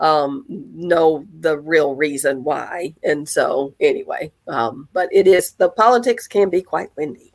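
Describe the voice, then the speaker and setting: A woman with a Southern US accent, fairly low in pitch, at a very slow pace. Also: lively intonation. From US South, northern Mississippi. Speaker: realtor. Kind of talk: casual interview.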